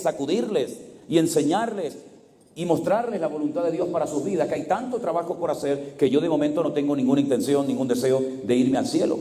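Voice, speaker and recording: Room echo is audible around a man's voice. He talks at a fairly quick pace with lively intonation. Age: 60s. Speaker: pastor. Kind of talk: sermon.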